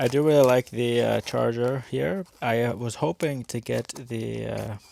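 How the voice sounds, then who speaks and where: Mumbling at a very slow pace, a man is heard in a dry, close sound with no echo over noticeable background noise. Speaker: toy car reviewer. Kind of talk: unboxing review.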